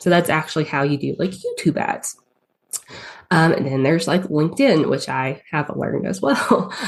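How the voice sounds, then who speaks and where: A woman's fairly low voice in a strong Southern accent, with ordinary pitch variation and a moderate pace. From US South. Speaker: paid ads strategist. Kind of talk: podcast interview. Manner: hesitant, many fillers.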